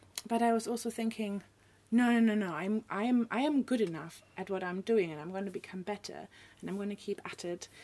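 Big swings in loudness mark this fairly quick delivery in a German accent. The pitch varies in an ordinary way. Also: woman, medium pitch for a woman. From northern Germany. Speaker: artist and illustrator. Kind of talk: casual interview chat. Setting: studio.

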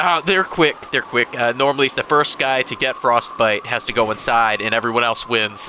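A man talks at a moderate pace with hardly any pauses, with noticeable background noise behind him. His pitch is medium, with ordinary variation. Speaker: podcast co-host. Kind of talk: casual comedic chat.

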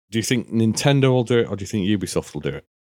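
A man talks with a British accent. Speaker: podcast co-host. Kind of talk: casual chat. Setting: video call.

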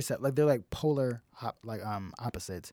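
A man at medium pitch with a dark, mellow tone and moderate pace, in a very clean recording against a silent background. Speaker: comedian. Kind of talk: casual chat. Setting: studio. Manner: talkative, laughs often.

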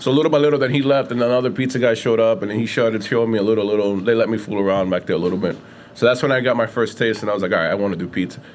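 A man speaks at a medium pitch with a New York accent, using ordinary pitch variation and a very fast pace. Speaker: pizzeria owner. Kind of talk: casual interview. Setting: in his pizza shop.

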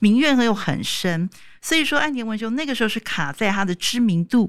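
Her pitch swings very widely as this woman speaks. The recording is very clean, with a silent background. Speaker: international news editor. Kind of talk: casual chat.

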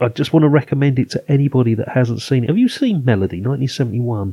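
The speaker has an English accent. Pitch varies in an ordinary way. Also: man. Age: 50s. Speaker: film podcast host. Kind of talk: casual chat.

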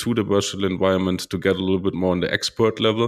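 The recording is very clean, with a silent background. A man speaks with a very deep, low pitch and a monotone, flat intonation. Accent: German. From Germany. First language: German. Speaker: podcast host. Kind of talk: interview. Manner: halting, many fillers.

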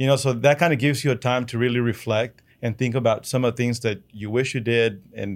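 In a very clean recording with a silent background, a man with a Spanish accent speaks fairly quickly at a medium pitch with fairly even intonation. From Chihuahua, Mexico, then Odessa, Texas from age 11. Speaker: oilfield business owner. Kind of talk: interview storytelling.

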